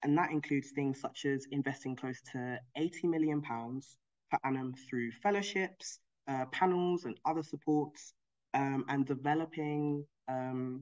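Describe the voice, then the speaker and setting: The speech comes at a fairly slow pace against a quiet background. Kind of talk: presentation talk. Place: home room. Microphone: video call.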